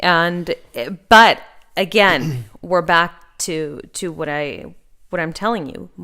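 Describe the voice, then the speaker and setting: A woman's fairly low voice in a Spanish accent, bright and sharp in tone, with ordinary pitch variation and a very slow pace. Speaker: podcast host, finance advisor. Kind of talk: casual chat.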